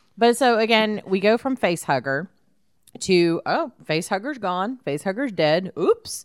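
With a Texan accent, a woman talks at a moderate pace and medium pitch, her voice swinging very widely up and down. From Houston area, Texas. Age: 40s. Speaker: podcast host. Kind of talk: casual chat.

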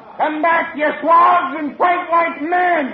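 A man shouts in a put-on character voice at an extremely high pitch, speaking slowly with ordinary pitch variation, while the room echoes audibly and a crowd murmurs faintly behind him.

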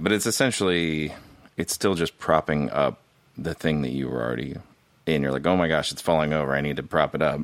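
This man has a very deep, low voice with an American accent. His pitch varies in an ordinary way. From Southern California (Irvine). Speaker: former pastor and podcaster. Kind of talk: casual chat.

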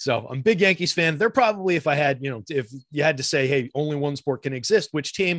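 A very fast American-accented man with lively intonation and a dry, close sound with no echo. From New York / North Jersey area. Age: 40s. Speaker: daily fantasy sports player and analyst. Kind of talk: casual interview. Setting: video call.

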